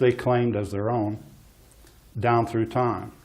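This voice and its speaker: A man speaks quietly at a fairly slow pace. His pitch is medium. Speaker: geologist giving a talk. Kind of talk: public talk. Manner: hesitant.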